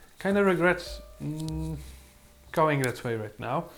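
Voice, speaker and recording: Music plays behind the voice. A man talks fairly slowly. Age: 20s. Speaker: photography YouTuber. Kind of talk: product review. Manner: halting, many fillers.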